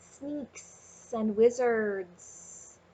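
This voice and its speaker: A woman puts on a character voice at a fairly high pitch. She is soft-spoken throughout. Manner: sly.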